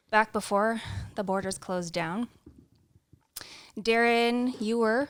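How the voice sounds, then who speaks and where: The delivery is very slow, with a Canadian accent and fairly even intonation. The recording is very clean, with a silent background. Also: woman, fairly high pitch for a woman. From Canada (Ontario). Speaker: traveller, guest. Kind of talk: podcast interview.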